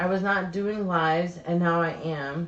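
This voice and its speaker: Amid noticeable background noise and audible room echo, a woman with an American accent speaks at a fairly slow pace in a fairly low, monotone, flat voice. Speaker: YouTube live show co-host. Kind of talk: casual chat. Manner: casual, conversational.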